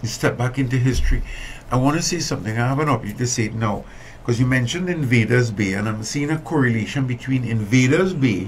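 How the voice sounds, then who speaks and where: Light background noise sits under the recording. A man speaks at a very fast pace. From Trinidad and Tobago. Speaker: environmental activist and businessman; guest. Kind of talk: interview. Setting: studio. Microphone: studio mic.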